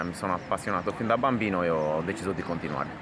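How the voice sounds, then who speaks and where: A man's very deep, low voice with ordinary pitch variation, amid noticeable background noise. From Sardinia, Orroli. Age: 30s. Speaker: shoemaker. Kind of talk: interview.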